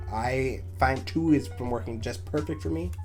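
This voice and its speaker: A man's very deep, low voice with lively intonation at a moderate pace, music playing in the background. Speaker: card game content creator. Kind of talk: casual talk to camera. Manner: hesitant, stumbling over words.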